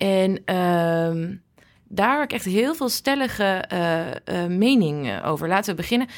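The speaker moves at a moderate pace with very wide pitch swings, recorded very cleanly against a silent background. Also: woman, medium pitch for a woman. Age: 30s. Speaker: podcast host. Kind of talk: interview. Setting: hospital.

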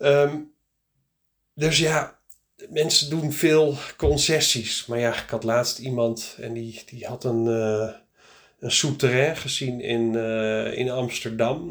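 A man's voice with ordinary pitch variation. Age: 40s. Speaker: practice start-up consultant. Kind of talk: solo podcast monologue. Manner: casual, hesitant with many fillers.

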